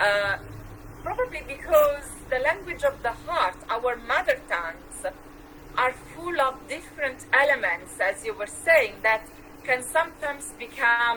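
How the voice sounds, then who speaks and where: Fairly slowly, a woman with a high pitch speaks in a raised, projected voice with very wide pitch swings. Noticeable background noise is present. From Switzerland. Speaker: poetry show host. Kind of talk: interview.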